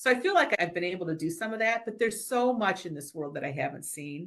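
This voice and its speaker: A woman talks at a fairly quick pace with lively intonation and fairly low pitch. It is a plain, everyday voice. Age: 60s. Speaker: business leader and board director. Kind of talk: interview.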